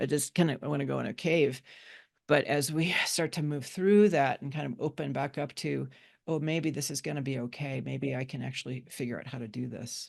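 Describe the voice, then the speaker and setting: A woman speaks at a fairly quick pace in a very deep, low pitch with vocal fry and ordinary pitch variation over a quiet background. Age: 60s. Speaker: psychologist and money mindset teacher. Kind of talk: webinar discussion. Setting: live webinar.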